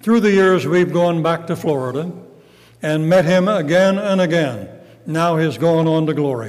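Here a man talks with a high pitch. His pitch variation is ordinary. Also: moderate pace. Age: 80s+. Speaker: retired pastor and evangelist. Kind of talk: sermon. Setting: church.

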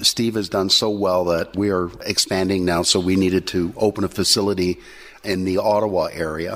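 Speaking at a moderate pace, a man uses a very deep, low pitch and a monotone, flat intonation. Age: old. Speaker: addiction recovery program team lead. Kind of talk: testimony.

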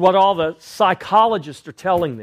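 A man speaks at a fairly slow pace in a high voice. The recording is very clean with a silent background. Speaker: pastor. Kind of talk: sermon. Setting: church. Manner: loud.

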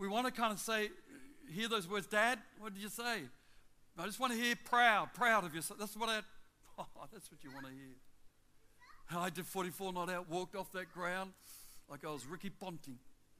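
A man's raised, projected voice, bright and sharp in tone and high in pitch, with an Australian accent, ordinary pitch variation, big swings in loudness and a moderate pace. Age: 60s. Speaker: travelling preacher. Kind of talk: sermon. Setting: church with congregation. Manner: animated.

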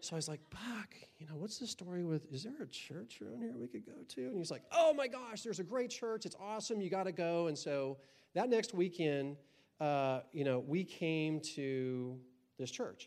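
Using very wide pitch swings, a man with a high pitch speaks at a moderate pace. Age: old. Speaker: church member giving testimony. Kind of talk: testimony. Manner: halting.

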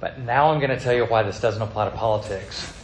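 Noticeable background noise accompanies a man talking at a very fast pace. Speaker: pastor. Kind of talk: sermon. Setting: church.

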